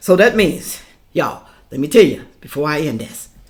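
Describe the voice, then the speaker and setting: A woman's pitch climbs and drops across a very broad range. Speaking at a medium tempo, she uses vocal fry. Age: 60s. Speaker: YouTuber. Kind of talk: opinion rant to camera. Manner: animated.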